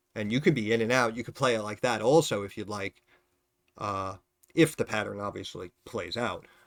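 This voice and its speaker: In a very clean recording with a silent background, a man mumbles with lively intonation. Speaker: stock market YouTuber, former financial advisor. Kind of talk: casual stock analysis video. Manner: mumbling; informal, filler-heavy.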